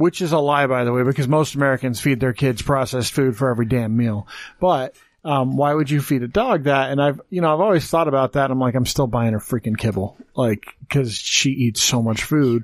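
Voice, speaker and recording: Speaking at a fairly quick pace in an ordinary speaking voice, a man keeps a medium pitch, ordinary pitch variation and very even loudness on a very clean recording with a silent background. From Wyoming (born in Texas). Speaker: podcast host. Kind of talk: casual chat.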